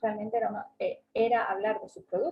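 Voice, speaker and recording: A woman with an Andalusian accent at a moderate pace. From southern Spain (Andalusia). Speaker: travel agent and workshop speaker. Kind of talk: online seminar talk. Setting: online seminar.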